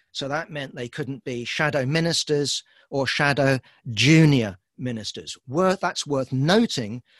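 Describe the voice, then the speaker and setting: A man with a British accent speaks at a fairly slow pace in a fairly high pitch. The sound is dry and close with no echo, over a quiet background. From Britain. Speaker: political commentator. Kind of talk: talk. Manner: halting.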